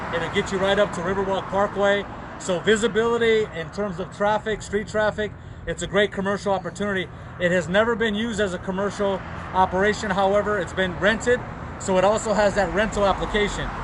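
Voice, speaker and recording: A loud man with a high pitch, flat monotone intonation, a fairly quick pace, and noticeable background noise. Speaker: real estate broker. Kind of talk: virtual open house tour.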